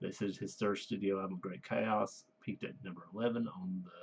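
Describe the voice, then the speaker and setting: With a Southern US accent, a man talks at a moderate pace in a fairly low pitch, his intonation lively. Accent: Southern US (Georgia). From US South, Georgia. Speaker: music reviewer, works with kids. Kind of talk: casual review monologue. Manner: halting, many fillers.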